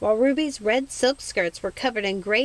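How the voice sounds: Ordinary pitch variation colors a natural reading voice.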